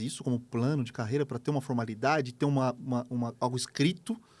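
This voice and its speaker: Very fast speech from a man at medium pitch, very clean recording and silent background. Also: hardly any pauses. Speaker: leadership trainer. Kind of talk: interview podcast.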